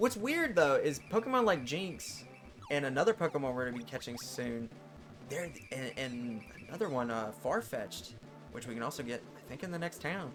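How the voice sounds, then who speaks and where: A man's fairly high voice with lively intonation and big swings in loudness, moderate pace, music in the background. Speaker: gaming video creator. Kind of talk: let's play commentary. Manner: stuttering, stumbling over words; casual, halting with fillers.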